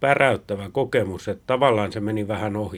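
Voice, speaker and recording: A man talks in a normal speaking voice at a fairly low pitch, with ordinary pitch variation and a moderate pace. The recording is very clean, with a silent background. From Finland. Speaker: podcast host. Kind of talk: casual chat.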